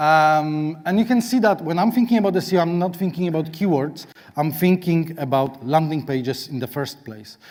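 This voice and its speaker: On a very clean recording with a silent background, a man speaks at a moderate pace. His pitch is fairly high and his intonation lively. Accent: Polish. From Poland. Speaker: SEO consultant, conference speaker. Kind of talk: conference talk. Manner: halting.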